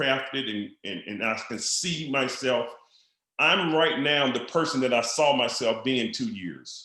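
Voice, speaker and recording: Amid audible room echo, a man at medium pitch speaks in an animated, bright, sharp tone with lively intonation at a fairly slow pace. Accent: Southern US. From Mississippi, US South. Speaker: network marketing entrepreneur. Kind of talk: podcast interview.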